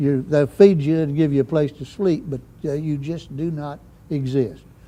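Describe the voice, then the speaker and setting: With a southeastern Missouri accent, a man at a fairly high pitch talks at a moderate pace in a dark, mellow tone with fairly even intonation. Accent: southern Midwestern US (Missouri Bootheel). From southeast Missouri. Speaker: Vietnam veteran helicopter pilot. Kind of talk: oral history interview. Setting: museum. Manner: hesitant, many fillers.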